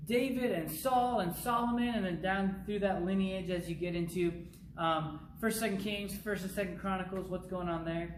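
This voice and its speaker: Through noticeable background noise and audible room echo, a man with a high pitch speaks with fairly even intonation. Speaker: youth pastor. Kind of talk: recorded bible teaching. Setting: pre-recorded video, not live. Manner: fast.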